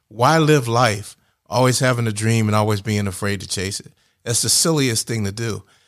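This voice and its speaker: In a very clean recording with a silent background, a man uses an ordinary speaking voice at medium pitch, with ordinary pitch variation and a moderate pace. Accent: American. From New Jersey, near Philadelphia. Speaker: IT business owner, Marine veteran. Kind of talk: radio interview. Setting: studio.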